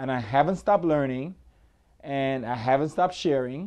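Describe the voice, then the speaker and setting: Against a quiet background, a man speaks in a dark, mellow tone. His pitch is fairly high and varies in an ordinary way. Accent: Antiguan. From Antigua. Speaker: hairstylist. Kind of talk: self-promotional talk to camera. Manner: casual, hesitant with many fillers.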